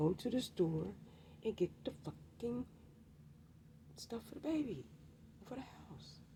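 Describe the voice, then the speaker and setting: A woman's dark, mellow voice with vocal fry and very wide pitch swings. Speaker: vlogger. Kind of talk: casual monologue, storytime rant. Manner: animated.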